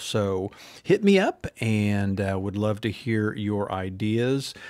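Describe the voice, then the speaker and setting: In a plain, everyday voice, a man speaks at a fairly low pitch with fairly even intonation, the sound dry with no echo over a quiet background. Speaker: podcast host. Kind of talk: casual podcast chat. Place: studio. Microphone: studio mic.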